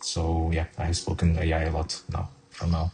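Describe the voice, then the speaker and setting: A man speaks at a fairly slow pace with a non-native accent, his tone dark and mellow and somewhat breathy. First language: not English. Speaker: software developer. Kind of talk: tutorial. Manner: hesitant, frequent fillers.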